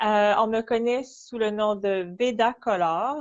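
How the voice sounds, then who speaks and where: In a Quebec accent, a woman speaks at a very slow pace with a fairly high pitch and ordinary pitch variation. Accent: Québécois. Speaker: artist. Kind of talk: interview. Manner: halting.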